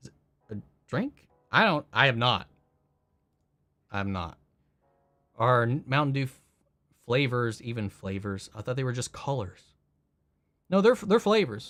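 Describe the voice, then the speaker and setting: A man speaking at a moderate pace. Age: 30s. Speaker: streamer reading live chat. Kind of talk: casual live stream chat. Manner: casual, stumbling over words.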